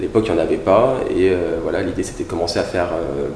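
The man's voice is very deep and low. Audible room echo and light background noise are present. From France. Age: 30s. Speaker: business executive; interviewee. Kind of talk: interview. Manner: hesitant, many fillers. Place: home room.

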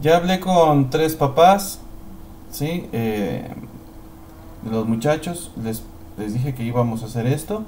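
With noticeable background noise and audible room echo, a man speaks at a very slow pace and a fairly high pitch, using lively intonation and long, frequent pauses. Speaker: teacher. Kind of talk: tutorial. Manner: halting.

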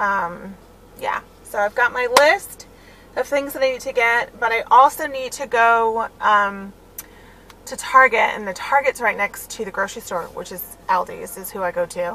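With a bright, sharp tone, a woman speaks at a moderate pace with big swings in loudness and ordinary pitch variation, in a dry sound with no echo and light background noise. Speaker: stay-at-home mom vlogger. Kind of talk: casual vlog chat. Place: car. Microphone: phone near.

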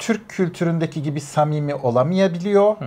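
A man speaking at a moderate pace. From Turkey. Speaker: immigrant professional; interview guest. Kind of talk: casual chat. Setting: at home. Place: studio. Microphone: lapel.

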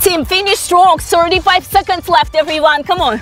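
A woman at a fairly slow pace, dry sound with no echo, faint music in the background. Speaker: fitness instructor. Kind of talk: workout coaching cues. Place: garden.

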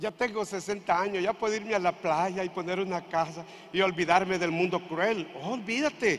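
With an animated tone, a man talks at a moderate pace in a high pitch, using ordinary pitch variation. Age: 60s. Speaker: pastor. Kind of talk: sermon. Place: church. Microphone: handheld.

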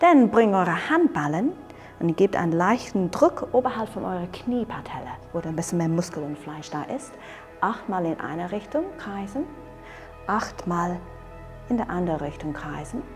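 Over clear background music, a woman speaks in a calm tone at a fairly slow pace, with long, frequent pauses and big swings in loudness. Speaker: qigong instructor. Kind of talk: exercise tutorial instruction. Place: open country. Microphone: lapel.

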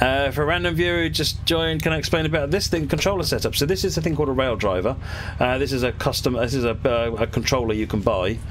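Someone speaks at a very fast pace over light background noise. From UK. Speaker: gaming streamer. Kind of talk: live-stream commentary while gaming. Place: home room.

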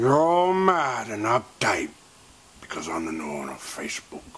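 Using a raspy put-on character voice at a medium pitch, a man speaks at a moderate pace with very wide pitch swings. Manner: aggressive, shouting.

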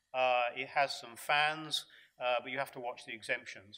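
A man talks at a fairly quick pace and a medium pitch. His tone is bright and sharp.

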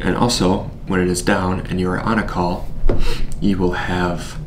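Over noticeable background noise, a man speaks at a moderate pace in a flat, monotone way. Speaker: presenter. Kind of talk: product demo tutorial. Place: studio.

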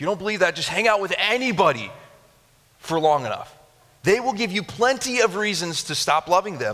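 A man with an American accent speaks in a raised, projected voice, high-pitched for a man, with an animated tone, lively intonation and a fairly quick pace over a quiet background. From Japan (missionary kid). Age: 30s. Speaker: pastor. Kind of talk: sermon. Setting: church with live audience. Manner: animated, conversational. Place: church. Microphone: headset.

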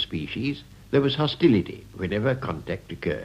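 A man's moderate-paced speech swings very widely in pitch and carries vocal fry. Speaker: lecturer. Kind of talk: lecture. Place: studio. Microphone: old recording.

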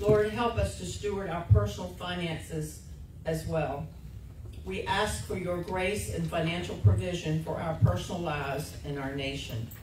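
This woman has a very deep, low voice, and her loudness swings widely at a moderate pace. There is audible room echo with light background noise. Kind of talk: read intercessory prayer. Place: church.

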